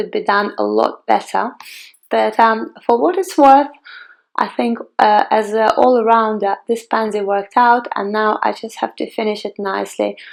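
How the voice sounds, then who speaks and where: This woman has a Ukrainian accent. She talks at a moderate pace. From Ukraine, Kiev. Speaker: flower crafting tutor. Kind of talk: tutorial. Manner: halting, many fillers.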